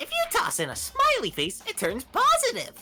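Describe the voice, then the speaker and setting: The voice is a put-on character. It is pitched extremely high. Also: moderate pace. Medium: fan dub. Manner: playful, taunting.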